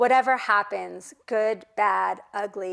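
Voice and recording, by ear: The speaker is reading aloud. It comes out in a natural voice.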